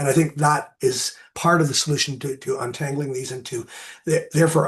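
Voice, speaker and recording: This man's voice is somewhat breathy and fairly high in pitch. He speaks at a fairly quick pace with fairly even intonation. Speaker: marine ecologist. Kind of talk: Q&A after a lecture. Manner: halting, many fillers.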